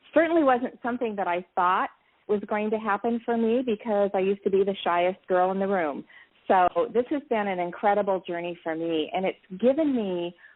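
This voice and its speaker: In an ordinary speaking voice, a woman talks at a moderate pace and medium pitch with lively intonation. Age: 60s. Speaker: network marketing entrepreneur. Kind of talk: interview. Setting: live interview.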